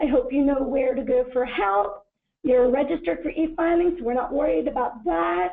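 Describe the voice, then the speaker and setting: A high-pitched woman speaks with very wide pitch swings. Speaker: government agency presenter. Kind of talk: webinar presentation. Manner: fast.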